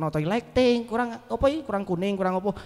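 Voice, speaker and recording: A man with a strong Javanese accent, high pitch, lively intonation and a very fast pace. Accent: thick Javanese (medok). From East Java, Malang. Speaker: comedian and MC. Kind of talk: casual chat. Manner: animated.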